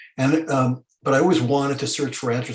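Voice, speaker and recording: A man with an American accent talks at a fairly quick pace. His voice is somewhat breathy, with ordinary pitch variation. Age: 70s. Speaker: historian. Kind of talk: panel discussion. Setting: video call. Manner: halting.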